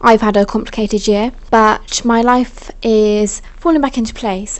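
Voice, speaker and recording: There is noticeable background noise. Over it, a woman talks with a fairly high pitch. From England. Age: 20s. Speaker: vlogger and freelance writer. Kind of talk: casual vlog talk to camera. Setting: at home in partner's flat. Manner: animated.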